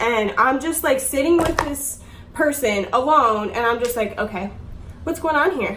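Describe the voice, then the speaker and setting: A woman speaks with a high pitch and lively intonation. Her moderate pace comes through audible room echo. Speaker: YouTuber. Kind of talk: storytime. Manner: casual, filler-heavy; halting.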